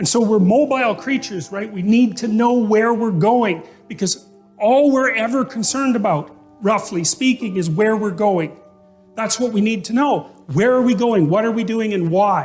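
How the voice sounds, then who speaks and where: A high-pitched male voice at a moderate pace with ordinary pitch variation, music playing in the background. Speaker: psychologist and public lecturer. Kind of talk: motivational lecture to an audience.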